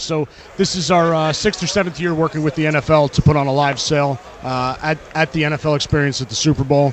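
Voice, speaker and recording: A man's fairly high-pitched voice with fairly even intonation, against noticeable background noise. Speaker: auction house representative. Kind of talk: radio interview answer. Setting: live radio row event.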